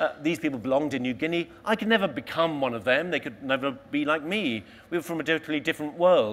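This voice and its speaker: A man in a London accent, fairly high-pitched, with lively intonation and a very fast pace. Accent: southern English (London). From London, England. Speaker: explorer. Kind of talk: motivational talk. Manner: animated.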